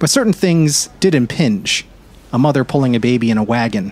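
This is an ordinary speaking voice from a man. He talks at a fairly quick pace with ordinary pitch variation. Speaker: narrator. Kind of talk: audiobook-style literary narration. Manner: measured, warm storyteller pacing, dreamy and descriptive.

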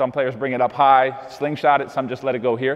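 A man talks at a very fast pace, and the background is quiet. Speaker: basketball coach. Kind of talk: tutorial. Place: gym.

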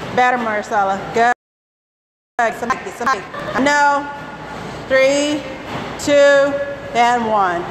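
At a fairly slow pace with long, frequent pauses, a woman speaks in a high pitch with ordinary pitch variation. Her loudness stays very even, amid noticeable background noise. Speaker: fitness instructor. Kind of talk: live group fitness class, coaching. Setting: gym, filmed workout class with participants. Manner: brisk, encouraging cues, counting down reps. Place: gym.

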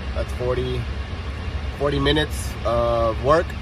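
A man speaks at a fairly slow pace. Background noise is noticeable, and the sound is dry with no echo. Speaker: truck driver vlogger. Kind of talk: casual vlog chat. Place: car. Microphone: phone near.

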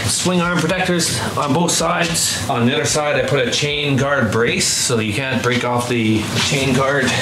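The speech unfolds at a fairly slow pace with noticeable background noise present throughout. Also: man. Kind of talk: interview answer, walkaround explanation. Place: garage. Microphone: camera far.

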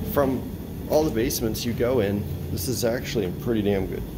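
A man at a fairly slow pace with ordinary pitch variation, over noticeable background noise. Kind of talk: casual vlog chat. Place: home room. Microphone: phone near.

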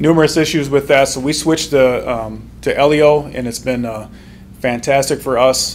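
A man at a moderate pace, his intonation fairly even, over light background noise. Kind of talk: report presentation to board. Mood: relaxed, lightly joking. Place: meeting room.

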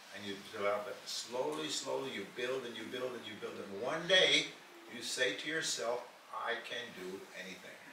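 Moderate pace with big swings in loudness, noticeable background noise and audible room echo. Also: man. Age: 90s. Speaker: motivational speaker. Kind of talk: talk.

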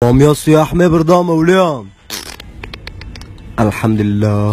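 Over music in the background, a man speaks at a very slow pace with long, frequent pauses, lively intonation and very even loudness. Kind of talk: comedy sketch dialogue.

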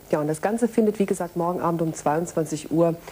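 A woman speaks at a fairly quick pace. Her pitch is fairly low. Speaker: television continuity announcer. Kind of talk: TV programme announcement, friendly direct address to viewers. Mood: friendly, smiling. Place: studio. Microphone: lapel.

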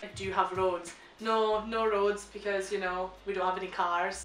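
Light background noise and audible room echo. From Shetland, Scotland. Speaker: vlogger. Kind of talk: casual reaction, reading questions aloud. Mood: amused, joking. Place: home room. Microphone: camera far.

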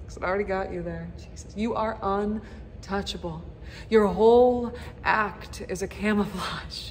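Over light background noise, a woman speaks at a fairly slow pace. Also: big swings in loudness. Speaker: actor. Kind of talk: dramatic monologue performance. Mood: bitter, accusatory, emotional. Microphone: phone near.

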